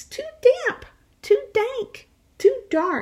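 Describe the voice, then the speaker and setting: A squeaky, put-on character voice from a woman, extremely high in pitch, with lively intonation. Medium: read story.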